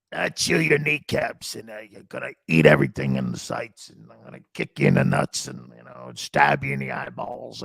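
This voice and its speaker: In a put-on character voice, a man speaks with a raspy, menacing tone at a very deep, low pitch. His pace is moderate, with hardly any pauses. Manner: gruff, menacing.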